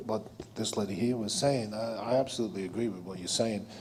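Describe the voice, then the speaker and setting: A man talks at a very fast pace with a non-native accent. His intonation is lively. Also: big swings in loudness. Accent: foreign accent noticeable. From abroad, immigrant. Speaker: audience member. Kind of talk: audience comment at public meeting.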